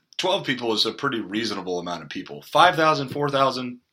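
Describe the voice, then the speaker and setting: A man with vocal fry talks fairly quickly at a medium pitch, his pitch swinging very widely. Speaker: Bible teacher. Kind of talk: casual Bible study discussion.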